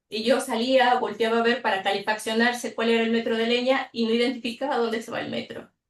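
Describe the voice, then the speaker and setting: Talking very fast with hardly any pauses, a woman keeps a fairly high pitch in a flat, monotone delivery. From Mexico. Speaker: mathematics teacher educator. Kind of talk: online workshop presentation.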